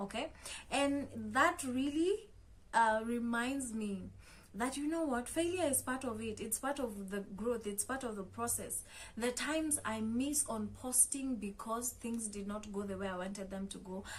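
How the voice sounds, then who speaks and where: In a Kenyan accent, a woman talks at a fairly slow pace. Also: fairly high pitch for a woman, ordinary pitch variation. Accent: Kenyan accent, noticeable. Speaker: motivational content creator. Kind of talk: motivational talk to camera. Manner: conversational with frequent fillers.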